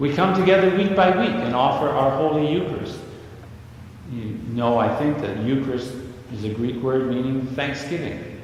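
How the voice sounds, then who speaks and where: Noticeable background noise sits behind a man speaking at a moderate pace. His voice has a medium pitch and ordinary pitch variation. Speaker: priest. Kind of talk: sermon.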